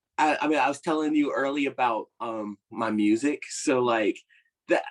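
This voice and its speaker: Speaking with an American accent, a man uses a medium pitch and ordinary pitch variation at a moderate pace, in a dry, close sound with no echo. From Virginia, US. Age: 20s. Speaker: actor. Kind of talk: podcast interview. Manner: halting, filler-heavy.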